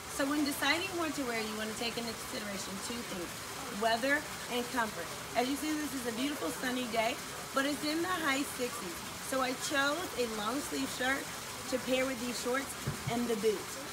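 A woman talks with ordinary variation in her pitch. Loud noise fills the background. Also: moderate pace. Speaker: wine vlogger. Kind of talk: casual vlog tutorial. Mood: cheerful, upbeat. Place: garden. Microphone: camera far.

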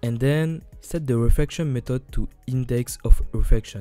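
There is background music. The man's intonation stays fairly even throughout. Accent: non-native. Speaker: 3D game artist. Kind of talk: software tutorial narration. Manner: casual, hesitant.

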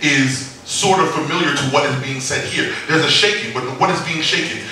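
Audible room echo with light background noise. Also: man. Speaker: preacher. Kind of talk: sermon. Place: church.

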